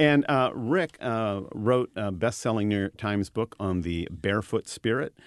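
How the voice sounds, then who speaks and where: A plain, everyday voice moves at a moderate pace. The sound is dry and close with no echo, and the background is quiet. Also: man. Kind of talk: radio DJ patter: playful back-and-forth, then a dry, chatty history segment.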